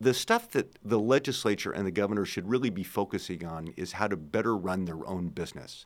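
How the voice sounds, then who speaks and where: A man with a plain, everyday voice and fairly low pitch talks at a fairly quick pace with hardly any pauses and ordinary pitch variation, on a very clean recording with a silent background. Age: 60s. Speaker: former government advisor and lecturer. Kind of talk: interview. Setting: studio.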